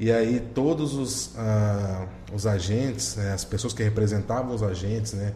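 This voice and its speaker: With audible room echo and noticeable background noise, a man speaks at a fairly low pitch and a fairly slow pace with ordinary pitch variation. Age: 30s. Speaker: municipal economic development official. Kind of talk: podcast interview.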